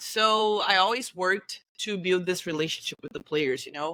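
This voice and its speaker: With a Brazilian Portuguese accent, a woman speaks at a moderate pace in a medium-pitched, bright, sharp voice with ordinary pitch variation and a dry, close sound with no echo. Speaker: football coach. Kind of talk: interview. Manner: halting, searching for words.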